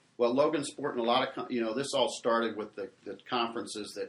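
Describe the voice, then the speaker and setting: With an American accent, a normal speaking voice talks at a fairly quick pace with ordinary pitch variation. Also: man. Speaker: sports talk co-host. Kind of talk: casual chat. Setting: studio.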